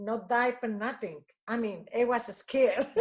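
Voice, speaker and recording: At a fairly slow pace, a woman with an Italian accent speaks at a high pitch with ordinary pitch variation. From Italy. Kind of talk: interview answer.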